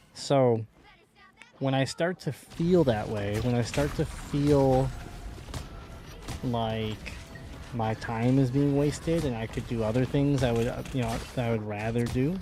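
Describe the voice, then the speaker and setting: A fairly slow delivery with long, frequent pauses and ordinary pitch variation, music in the background. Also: man, medium pitch for a man. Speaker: gaming streamer. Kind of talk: casual chat.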